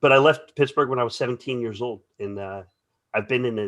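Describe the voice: A man's medium-pitched voice with a slight New England accent and ordinary pitch variation. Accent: faint New England.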